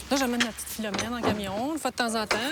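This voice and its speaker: Noticeable background noise behind a woman's voice, pitched high. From Quebec, Lac-Saint-Jean then Quebec City. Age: 30s. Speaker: truck driver. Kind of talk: documentary interview.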